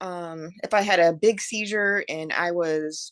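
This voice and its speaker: A woman with a Kentucky accent at medium pitch, with ordinary pitch variation and a quiet background. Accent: Southern US (Kentucky). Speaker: epilepsy patient sharing experience. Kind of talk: interview.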